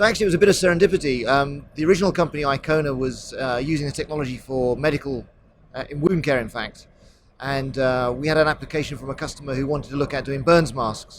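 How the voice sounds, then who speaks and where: Talking at a very fast pace, a man with a British accent uses a fairly high pitch and ordinary pitch variation. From England, near London. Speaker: tech company executive. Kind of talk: interview. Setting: trade show.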